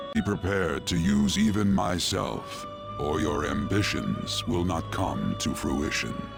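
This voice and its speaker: Against loud music in the background, a man puts on a character voice with a very deep, low pitch at a fairly slow pace. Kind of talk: ornate formal speech. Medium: game stream. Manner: slow, measured, cryptic.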